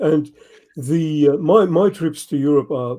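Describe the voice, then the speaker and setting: Speaking with an Australian accent, a man has a dark, mellow tone at a fairly high pitch. His pace is fairly slow, with ordinary pitch variation. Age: 70s. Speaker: motorcycle travel writer. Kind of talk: interview. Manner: halting, many fillers.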